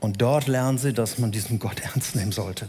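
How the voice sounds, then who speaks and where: The man's voice comes across as somewhat breathy. He keeps to a moderate pace. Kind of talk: sermon. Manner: didactic, earnest, building to rhetorical questions and emphatic repetition; explanatory, measured pace, direct address to the congregation.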